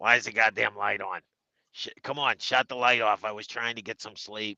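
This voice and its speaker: A man's put-on character voice at a medium pitch and a moderate pace. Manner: grumpy, complaining.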